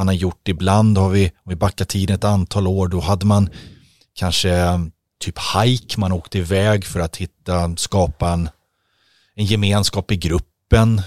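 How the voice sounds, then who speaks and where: A man with a very deep, low pitch talks in a flat monotone, the sound dry and close with no echo. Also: fairly slow pace. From Stockholm, Sweden. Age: 50s. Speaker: ice hockey equipment manager. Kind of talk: casual chat. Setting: studio.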